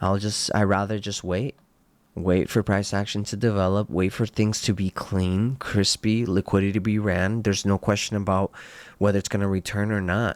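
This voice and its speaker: The speech moves at a moderate pace. It sounds dry and close with no echo, in a flat, monotone delivery. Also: man, fairly low pitch for a man, very clean recording, silent background. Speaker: forex trader. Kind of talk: trading market analysis talk. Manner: casual, conversational.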